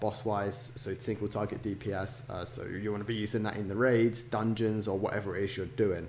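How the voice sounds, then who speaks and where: A somewhat breathy man's voice, medium in pitch, at a moderate pace. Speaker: gaming YouTuber. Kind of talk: tutorial. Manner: quieter than usual. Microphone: poor sound quality.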